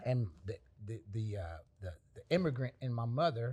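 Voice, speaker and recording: A man's somewhat breathy voice. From Panama, raised in Dallas, Texas. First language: Spanish. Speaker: artist. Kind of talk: interview answer.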